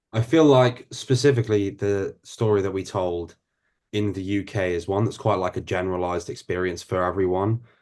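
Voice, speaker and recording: Over a quiet background, a man with a London accent speaks at a fairly quick pace and a fairly low pitch, with ordinary pitch variation. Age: 20s. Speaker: actor. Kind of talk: interview.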